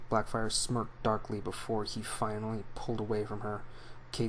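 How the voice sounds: What's heard is a natural reading voice.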